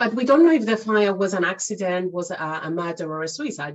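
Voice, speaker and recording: A woman speaks with a fairly low voice. Her pace is moderate. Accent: Cypriot Greek. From Cyprus. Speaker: math educator and author. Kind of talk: casual interview chat.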